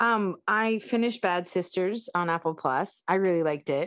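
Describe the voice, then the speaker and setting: A woman with a plain, everyday voice speaks at a moderate pace with lively intonation, the sound dry and close with no echo and the background quiet. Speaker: podcast co-host. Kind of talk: casual chat.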